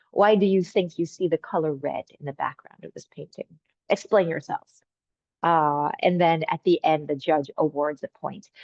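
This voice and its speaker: A woman with an American accent, fairly low pitch, fairly even intonation, a moderate pace and big swings in loudness. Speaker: game designer. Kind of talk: online presentation.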